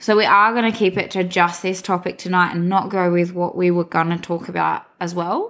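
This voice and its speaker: A woman with an Australian accent speaks in a monotone, flat intonation with hardly any pauses. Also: medium pitch for a woman, fairly quick pace. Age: 20s. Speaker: podcast co-host. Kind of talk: casual chat.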